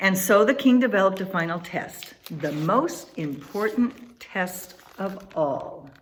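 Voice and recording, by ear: Intonation rises and falls in a lively way. It is reading aloud in a natural voice.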